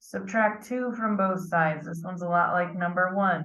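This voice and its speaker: There is audible room echo around this woman's voice. She sounds somewhat breathy, with lively intonation. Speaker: math teacher. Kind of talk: lecture.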